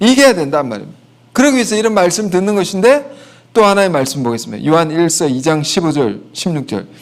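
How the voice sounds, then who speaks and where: A man talks at a fairly quick pace with very wide pitch swings, and the room echo is audible. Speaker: pastor. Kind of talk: sermon.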